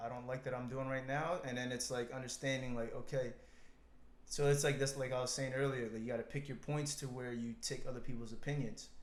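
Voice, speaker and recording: Audible room echo surrounds a man speaking at a fairly quick pace in a monotone, flat intonation. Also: medium pitch for a man. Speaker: podcast co-host. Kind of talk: casual chat.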